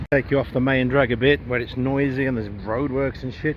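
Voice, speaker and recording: A man with an English accent. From England. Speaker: travel vlogger. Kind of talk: casual vlog monologue. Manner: casual, with fillers and swearing.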